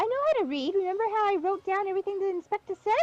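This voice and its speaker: A woman speaks in a squeaky, put-on character voice pitched extremely high, talking very fast at a very even loudness with ordinary pitch variation, in a dry, close sound with no echo. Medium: game stream.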